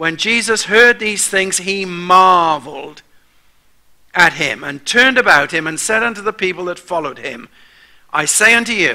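Against a quiet background, a man with a bright, sharp tone speaks fairly slowly with ordinary pitch variation. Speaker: preacher. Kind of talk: sermon. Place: church.

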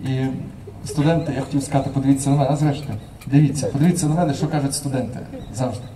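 At a very fast pace broken by long, frequent pauses, a man speaks in a fairly high voice with fairly even intonation over noticeable background noise. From Crimea, Simferopol; Crimea. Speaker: university lecturer and institute director; university lecturer. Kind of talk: conference talk. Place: street.

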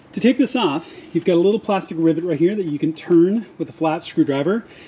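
A man's high-pitched voice at a fairly quick pace, with noticeable background noise. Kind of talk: tutorial. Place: garage. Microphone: phone near.

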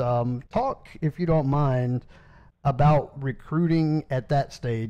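A man speaks with a Southern US accent and a dark, mellow tone. The background is quiet. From South Carolina, Anderson. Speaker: podcast host. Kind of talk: interview. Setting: phone call.

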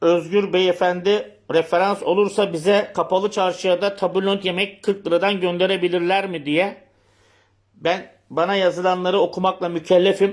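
Monotone, flat intonation at a moderate pace in a very clean recording with a silent background. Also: man, high pitch for a man. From Turkey, Bursa. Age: 50s. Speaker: local politician. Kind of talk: political livestream commentary.

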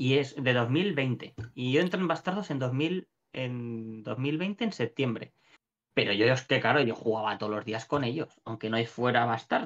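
Lively intonation at a fairly slow pace. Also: man. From Valencia, Spain; Spain. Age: 30s. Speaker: shop owner and gamer; gamer. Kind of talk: casual interview chat. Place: home room.

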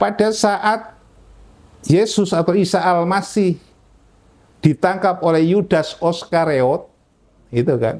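Very slow and marked by long, frequent pauses, a man's high-pitched speech keeps very even loudness and ordinary pitch variation. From Central Java, Indonesia (Magelang); Central Java, Indonesia. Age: 80s+. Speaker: convert to Islam, former pastor, religious teacher. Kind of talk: testimony interview. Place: office. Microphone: lapel.

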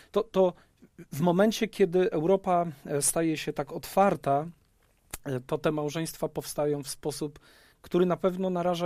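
Speaking at a moderate pace, a man has a high pitch, a dark, mellow tone and ordinary pitch variation. The sound is dry with no echo, over a quiet background. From Poland. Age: 30s. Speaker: pastor. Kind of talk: panel discussion. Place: studio. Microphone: headset.

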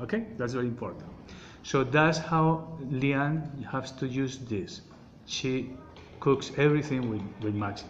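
With a Colombian accent, a man speaks at a fairly slow pace and medium pitch with ordinary pitch variation, over noticeable background noise. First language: Spanish. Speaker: oil seller giving health advice. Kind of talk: informal product explanation in a message. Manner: halting, hesitant, searching for words; repetitive, emphatic. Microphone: phone near.

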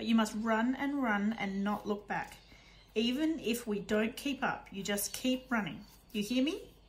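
Ordinary pitch variation in a plain read-aloud delivery.

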